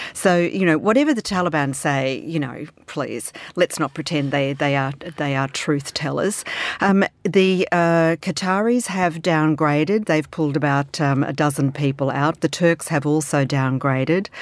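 In an Australian accent, the voice moves at a moderate pace with ordinary pitch variation. The recording is very clean, with a silent background. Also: woman, very deep, low pitch for a woman. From Australia, Melbourne. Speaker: foreign affairs columnist. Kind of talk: panel discussion.

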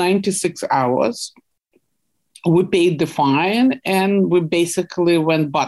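A woman speaks with a Russian accent. Her pitch is medium, with ordinary pitch variation. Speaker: investigative journalist. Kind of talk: interview.

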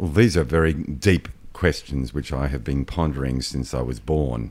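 A man speaks with a very deep, low pitch. His pace is moderate, and his pitch varies in an ordinary way. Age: 50s. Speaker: podcast guest. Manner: self-deprecating, jokey.

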